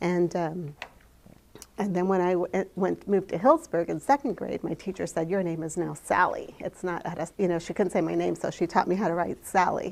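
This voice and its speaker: A woman talks at a fairly quick pace in a fairly low voice with vocal fry. Her intonation stays fairly even. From Mexico, raised in California. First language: Spanish. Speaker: storyteller. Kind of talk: personal storytelling. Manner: halting, many fillers.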